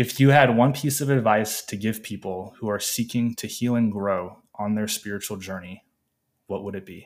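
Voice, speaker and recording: A man's plain, everyday voice, fairly low in pitch, with ordinary pitch variation, big swings in loudness and a moderate pace, in a very clean recording with a silent background. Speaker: podcast host. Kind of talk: interview.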